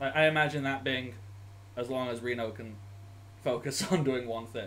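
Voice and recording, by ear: A man speaks at a fairly slow pace with a medium pitch.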